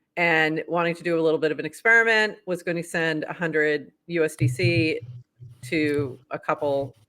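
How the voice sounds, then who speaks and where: A woman at a fairly low pitch and a moderate pace, with a slight Boston accent. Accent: Boston accent, slipping in slightly. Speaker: podcast host. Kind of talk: casual chat, news roundup. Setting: livestream.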